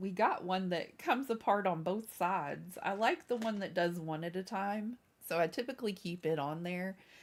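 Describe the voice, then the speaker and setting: An animated voice with ordinary pitch variation moves at a moderate pace. The recording is very clean, with a silent background. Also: woman. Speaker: crafts live streamer. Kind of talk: casual live stream chat. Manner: chatty, animated.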